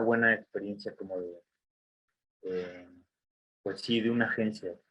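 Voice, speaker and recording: A man speaks with a Mexican accent at a fairly slow pace. His pitch sits fairly low. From Mexico. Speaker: design graduate. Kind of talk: talk to students. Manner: casual, many fillers.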